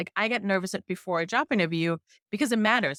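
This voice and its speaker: With a strong German accent, a woman speaks in a bright, sharp tone and lively intonation, recorded very cleanly against a silent background with a dry, close sound and no echo. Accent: thick German. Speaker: journalist testing AI hiring tools. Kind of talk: interview conversation. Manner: hesitant with repetitions.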